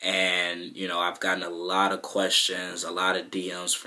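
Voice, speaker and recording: In a monotone, flat intonation, a man with an American accent speaks at a very deep, low pitch. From Chicago, South Side. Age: 20s. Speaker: YouTuber. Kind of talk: personal vlog monologue. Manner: casual, many fillers.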